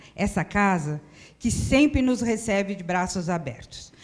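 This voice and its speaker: A somewhat breathy woman's voice at a medium pitch with lively intonation. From São Paulo, Brazil (Penha district). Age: 60s. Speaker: spiritist center presenter. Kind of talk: welcome address.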